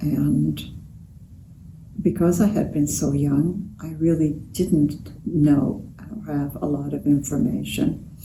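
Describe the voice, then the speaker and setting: Her very deep, low voice carries a dark, mellow tone and vocal fry, with ordinary pitch variation, moving at a very slow pace with long, frequent pauses amid audible room echo. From Romania. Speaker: Holocaust survivor. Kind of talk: interview testimony. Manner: halting.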